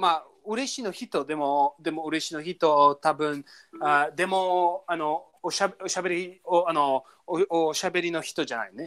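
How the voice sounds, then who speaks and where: An English accent at a moderate pace. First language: English (speaking Japanese). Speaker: language learning podcast co-host. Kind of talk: casual chat. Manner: animated, frequent laughter.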